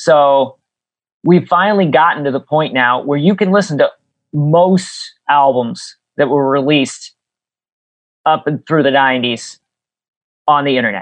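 A man speaks fairly slowly with long, frequent pauses. His pitch is fairly high, with ordinary variation. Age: 40s. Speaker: YouTube video creator and musician. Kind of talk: casual chat. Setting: remote call.

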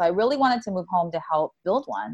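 A woman talks at a very fast pace. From Hawaii (Oahu). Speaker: accelerator program founder. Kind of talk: interview.

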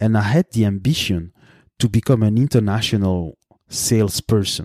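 Speaking at a moderate pace in a French accent, a man with a fairly low pitch and a dark, mellow tone is heard in a dry, close sound with no echo and a very clean recording with a silent background. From Belgium. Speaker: podcast host, consultant. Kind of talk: solo podcast monologue. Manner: hesitant, with frequent fillers.

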